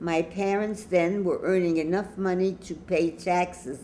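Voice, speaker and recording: A woman with an American accent, fairly low pitch, a dark, mellow tone, fairly even intonation and a very slow pace. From New York City, Lower East Side. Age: 90s. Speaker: grandmother web show host. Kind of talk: personal storytelling monologue.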